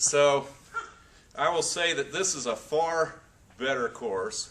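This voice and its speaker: A man talks with an American accent and lively intonation. Noticeable background noise runs behind him. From North Florida, later California. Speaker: aspiring professional speaker. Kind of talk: testimonial.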